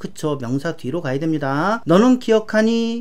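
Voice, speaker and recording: In an animated tone, a woman speaks at a moderate pace with very wide pitch swings. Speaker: English grammar teacher. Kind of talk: lecture.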